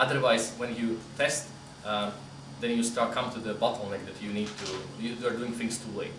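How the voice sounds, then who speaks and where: Very fast speech with ordinary pitch variation comes through audible room echo and noticeable background noise. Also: man. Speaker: QA solution architect, conference speaker. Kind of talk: conference talk Q&A.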